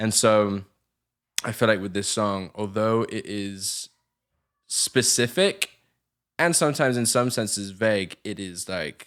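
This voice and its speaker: Pausing long and often, a man with an English accent speaks in a fairly low pitch with ordinary pitch variation, on a very clean recording with a silent background. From southern England. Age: 20s. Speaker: musician and producer. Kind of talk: casual chat.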